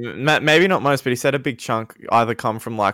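A man with an Australian accent speaks at a fairly quick pace, his tone bright and sharp and his intonation lively. The recording is very clean, with a silent background. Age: 20s. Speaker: podcast co-host and rapper. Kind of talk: casual chat. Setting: voice chat stream.

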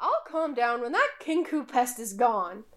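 A woman performs a shrill, put-on character voice. It sits high in pitch and moves at a moderate pace. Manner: irritated.

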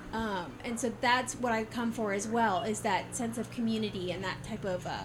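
Amid noticeable background noise and audible room echo, a woman talks at a fairly quick pace with a fairly high pitch and ordinary pitch variation. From US South, Georgia (Warner Robins). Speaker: podcast host and market vendor. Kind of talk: casual interview. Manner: talkative.

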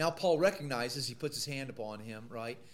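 A man talks with an American accent and a fairly high pitch. His pitch varies an ordinary amount. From US Midwest, Missouri. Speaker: Bible college teacher. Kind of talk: lecture.

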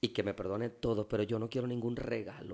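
A man's plain, everyday voice at a medium pitch and a moderate pace. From Mexico, Veracruz port. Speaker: pastor. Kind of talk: casual interview.

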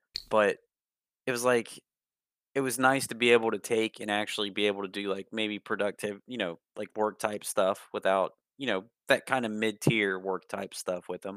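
An unremarkable speaking voice with fairly even intonation, in a very clean recording with a silent background and a dry, close sound with no echo. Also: man, fairly low pitch for a man, moderate pace. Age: 30s. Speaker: podcast co-host. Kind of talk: casual chat.

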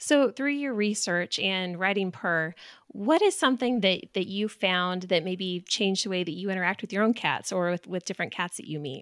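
On a very clean recording with a silent background, a woman with a normal speaking voice talks at medium pitch and a moderate pace, her intonation lively and hardly any pauses. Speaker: podcast host. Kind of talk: casual interview chat.

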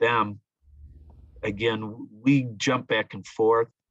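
The speaker is a man with an American accent. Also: dry, close sound with no echo. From US Midwest, Ottawa, Illinois. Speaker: middle school Spanish teacher. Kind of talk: interview.

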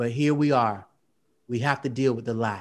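A man with an American accent has an ordinary speaking voice at a medium pitch. He speaks at a moderate pace on a very clean recording with a silent background. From US South, Belle Glade, Florida. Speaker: poet. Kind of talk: interview.

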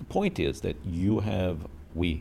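This voice has a dark, mellow tone with vocal fry. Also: man. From Minnesota (Minneapolis), born in Israel. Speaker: architect. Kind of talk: interview.

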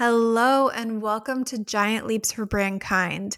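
A woman talks in a plain, everyday voice at a fairly high pitch and a fairly slow pace. The recording is very clean, with a silent background and a dry, close sound with no echo. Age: 40s. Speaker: podcast host, B2B tech marketer. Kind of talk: scripted monologue intro.

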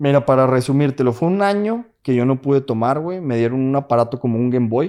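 A man talks at a moderate pace in a medium pitch with a dark, mellow tone. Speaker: engineer working in the US. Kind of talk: casual chat.

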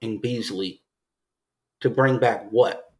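In a normal speaking voice, a man talks at a fairly slow pace with ordinary pitch variation. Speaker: podcast host. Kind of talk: casual sports chat.

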